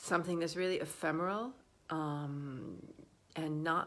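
A woman with a very deep, low pitch speaks with ordinary pitch variation. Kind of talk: casual vlog chat. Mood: warm, relaxed. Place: home room. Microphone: phone near.

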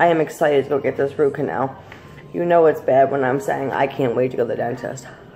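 With faint music behind it, the voice moves at a fairly quick pace with ordinary pitch variation. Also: woman. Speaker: vlogger. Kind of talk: casual vlog chat, mukbang. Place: home room. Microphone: phone near.

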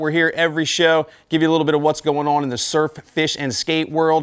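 A man talks at a fairly quick pace. Behind him, it is quiet. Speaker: TV fishing show host. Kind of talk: promotional host presentation. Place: shop. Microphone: lapel.

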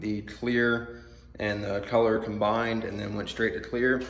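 Audible room echo surrounds a man talking at a fairly slow pace. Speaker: car vlogger. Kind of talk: casual vlog chat. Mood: sleepy, slightly scattered. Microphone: phone near.

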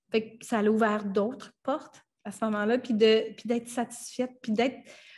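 Against a quiet background, a woman with a Franco-Ontarian accent talks at a fairly slow pace, her fairly high voice somewhat breathy. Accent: Franco-Ontarian Canadian French. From Ottawa, Ontario (Franco-Ontarian, Acadian parents). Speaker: filmmaker and actress; actress. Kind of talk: radio interview. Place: home room. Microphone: webcam.

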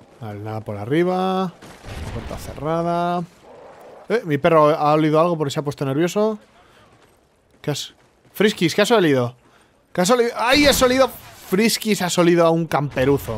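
With a Spanish accent and a high pitch, a man moves at a moderate pace through very wide pitch swings and long, frequent pauses. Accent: Peninsular Spanish. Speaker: gaming youtuber. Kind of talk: live gameplay commentary. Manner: animated.

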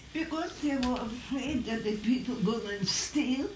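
A woman's high voice with ordinary pitch variation at a fairly slow pace, plus audible room echo and light background noise. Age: 80s+. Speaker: fire survivor. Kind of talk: interview answer. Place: classroom. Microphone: old recording.

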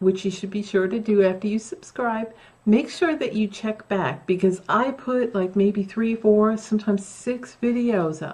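A woman speaks at a moderate pace with ordinary pitch variation. Her voice is somewhat breathy. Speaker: craft vlogger. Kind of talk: casual vlog chat. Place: home room.

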